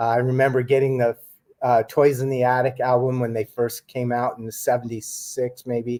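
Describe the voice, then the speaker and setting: A man with an American accent speaks at a moderate pace in a monotone, flat intonation, his medium-pitched voice carrying a dark, mellow tone. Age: 60s. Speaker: author and UFO researcher. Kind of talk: casual chat.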